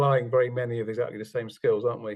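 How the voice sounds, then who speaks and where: This is a man speaking. His intonation is flat and monotone. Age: 60s. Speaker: forensic psychologist. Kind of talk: interview.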